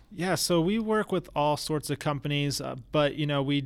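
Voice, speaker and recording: A plain, everyday voice from a man, fairly high in pitch, with ordinary pitch variation at a moderate pace. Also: very clean recording, silent background. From Florida, US. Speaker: tech startup founder. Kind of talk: casual interview.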